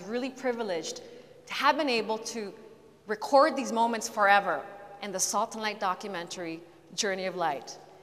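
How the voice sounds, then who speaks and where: Amid noticeable background noise, a woman talks at a moderate pace with fairly high pitch and ordinary pitch variation. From Philippines. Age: 30s. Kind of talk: testimony. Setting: church with live audience.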